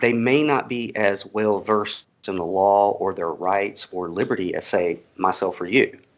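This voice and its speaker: A man with a Southern US accent talks in a fairly low pitch with ordinary pitch variation. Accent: Southern US accent, thinner than host's. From US South, Georgia. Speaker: cannabis activist. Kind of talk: interview.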